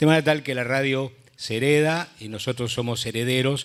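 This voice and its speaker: Using a plain, everyday voice, a man talks at a fairly quick pace with ordinary pitch variation. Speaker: radio announcer. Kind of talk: panel discussion.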